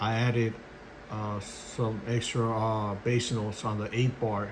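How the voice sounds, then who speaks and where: A man speaks fairly slowly in a flat monotone. Audible room echo surrounds his voice. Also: medium pitch for a man. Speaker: beatmaker. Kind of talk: tutorial. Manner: halting.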